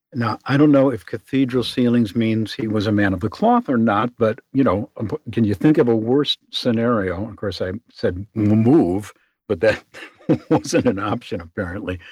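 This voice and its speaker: A man with a Chicago accent talks at a moderate pace with ordinary pitch variation. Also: medium pitch for a man. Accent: Chicago American. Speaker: voice actor and booth maker. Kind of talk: interview.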